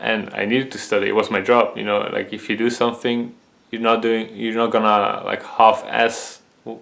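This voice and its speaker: A man speaks with a Dutch accent at a moderate pace. His loudness swings widely over noticeable background noise. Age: 20s. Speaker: vision health video creator. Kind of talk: personal testimony. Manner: halting, many fillers.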